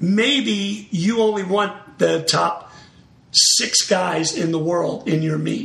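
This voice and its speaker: The speech moves at a very slow pace with ordinary pitch variation. Audible room echo and noticeable background noise fill the recording. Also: man, high pitch for a man. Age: 50s. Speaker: former high jumper, meet promoter. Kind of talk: casual interview.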